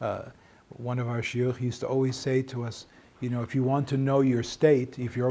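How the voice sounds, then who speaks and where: In a somewhat breathy voice with a dark, mellow tone, a man talks at a fairly quick pace using monotone, flat intonation. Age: 60s. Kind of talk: informal talk to small group. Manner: halting, repeats words.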